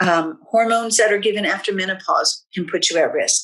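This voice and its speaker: At a moderate pace, a woman talks in a plain, everyday voice with fairly even intonation. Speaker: health educator. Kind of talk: webinar presentation.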